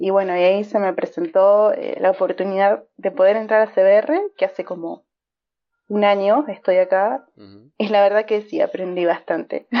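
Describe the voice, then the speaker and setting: This is a woman with an ordinary speaking voice. She speaks at a moderate pace. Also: medium pitch for a woman, ordinary pitch variation, big swings in loudness. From Argentina. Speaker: online gamer, clan member. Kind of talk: interview.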